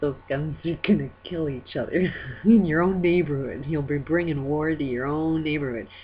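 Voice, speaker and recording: Light background noise sits behind a woman with a very deep, low pitch. She talks at a moderate pace with ordinary pitch variation. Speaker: vlogger. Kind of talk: casual vlog chat, opinion rant. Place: home room. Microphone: webcam.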